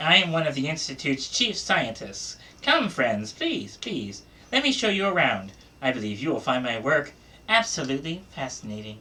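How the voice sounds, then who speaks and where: This is a put-on character voice, nasal and quiet at a low-to-middle pitch. The pace is moderate. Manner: polite, eager, inviting.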